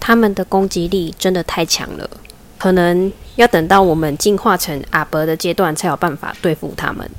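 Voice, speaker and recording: Speaking with a Taiwanese accent, the voice moves at a moderate pace with ordinary pitch variation. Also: woman, fairly low pitch for a woman. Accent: Taiwanese Mandarin. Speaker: podcast host, job seeker. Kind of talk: casual solo talk. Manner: unnatural, phone-trained voice.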